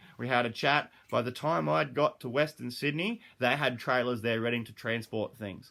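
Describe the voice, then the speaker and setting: With an Australian accent, a man speaks at medium pitch in a bright, sharp tone, recorded very cleanly against a silent background. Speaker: dog trainer and animal behaviourist. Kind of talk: casual monologue. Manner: fast.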